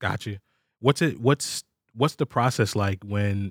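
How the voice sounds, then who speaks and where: The sound is dry and close with no echo, a very clean recording with a silent background. A man with a normal speaking voice and fairly low pitch talks at a moderate pace. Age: 30s. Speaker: sample pack company podcast host. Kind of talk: casual interview.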